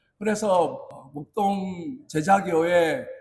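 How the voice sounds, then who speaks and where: The intonation of this man's speech is lively. His voice sits high in pitch. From South Korea, Busan. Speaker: pastor. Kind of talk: sermon.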